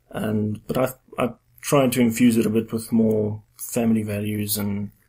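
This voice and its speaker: With a South African accent, a man speaks at a moderate pace and a medium pitch, his intonation monotone and flat. His tone is dark and mellow and somewhat breathy. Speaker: podcast host, fantasy author. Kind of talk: casual interview chat.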